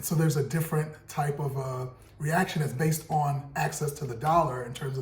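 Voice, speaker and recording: A man with an American accent has an unremarkable speaking voice, fairly high in pitch. He moves at a moderate pace with fairly even intonation. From US, Brooklyn, New York. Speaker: podcast co-host, real estate broker. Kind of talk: casual discussion.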